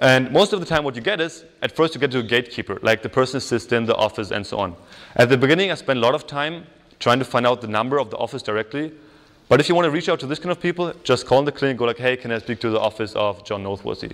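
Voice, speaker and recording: Speaking at a very fast pace, a man has a medium pitch and lively intonation. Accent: German. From Germany. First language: German. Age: 20s. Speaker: psychology student and workshop speaker. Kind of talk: workshop talk. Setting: stage with audience. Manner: casual, filler-heavy.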